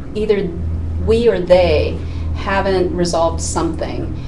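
A woman keeps a moderate pace while noticeable background noise runs underneath. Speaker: life coach guest. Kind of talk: interview answer. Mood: warm, earnest. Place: studio.

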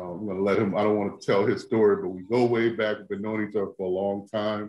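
A man's fairly low voice with audible room echo. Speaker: host introducing a guest. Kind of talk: online show introduction. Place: home room. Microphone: webcam.

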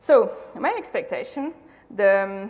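A woman's fairly high-pitched voice with a French accent. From France. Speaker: conference speaker, UX designer; conference speaker. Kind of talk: conference talk. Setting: stage with audience. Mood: casual, lively storytelling. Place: hall.

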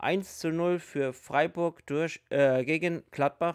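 A very slow pace with fairly even intonation, against a quiet background. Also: man. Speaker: hobby youtuber. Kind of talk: casual commentary.

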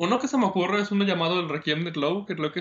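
A man speaks with a Mexican accent. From Mexico. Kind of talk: casual interview chat. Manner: halting, many repetitions.

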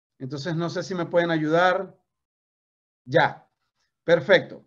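The background is quiet. The voice is a man's. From Venezuela. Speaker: network marketing trainer. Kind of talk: motivational training talk. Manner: animated. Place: home room. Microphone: video call.

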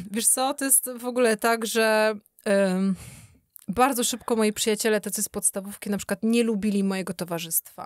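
A woman's plain, everyday voice, fairly high in pitch, with fairly even intonation, a fairly quick pace, a dry sound with no echo and a quiet background. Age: 30s. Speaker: sober-living social media creator; podcast guest. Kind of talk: casual interview. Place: studio. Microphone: studio mic.

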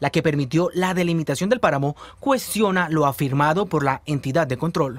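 Speaking in a normal speaking voice, a man has a fairly high pitch. He keeps a moderate pace with ordinary pitch variation. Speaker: news reporter. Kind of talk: formal newsreading, scripted voice-over. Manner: formal, steady, serious.

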